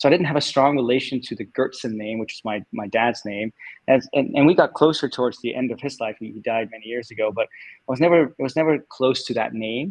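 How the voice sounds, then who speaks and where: A man with medium pitch talks at a fairly quick pace with hardly any pauses and ordinary pitch variation. His loudness swings widely, recorded dry and close with no echo over a quiet background. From Denmark. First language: Danish. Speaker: tech executive. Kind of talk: interview. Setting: livestream.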